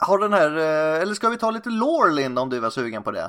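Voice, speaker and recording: Pitch swings very widely through this man's fairly high voice. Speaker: film podcast host. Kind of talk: casual chat.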